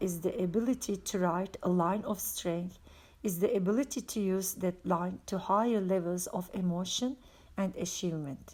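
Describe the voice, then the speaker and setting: A woman with a non-native accent and a dark, mellow tone speaks at a fairly slow pace and medium pitch with ordinary pitch variation. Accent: foreign accent, self-noted. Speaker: religious book reader. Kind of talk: reading aloud. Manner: occasional stumbles on words.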